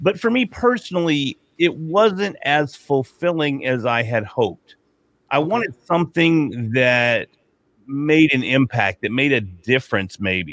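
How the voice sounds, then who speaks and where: In a dry, close sound with no echo, a man speaks at a fairly slow pace in a fairly high pitch with very wide pitch swings. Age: 40s. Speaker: podcaster and podcast consultant. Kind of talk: casual interview.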